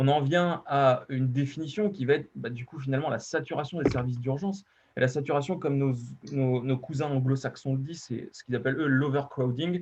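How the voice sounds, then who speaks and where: In a Poitou accent, a man with a fairly high, somewhat breathy voice speaks at a fairly quick pace with fairly even intonation. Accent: Deux-Sèvres regional French. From western France, Deux-Sèvres. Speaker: emergency medicine physician. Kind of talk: conference presentation. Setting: online webinar. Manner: hesitant, many fillers.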